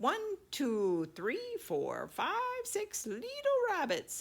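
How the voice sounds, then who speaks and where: A female-sounding, put-on character voice with a high pitch speaks at a very slow pace over light background noise. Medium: read story.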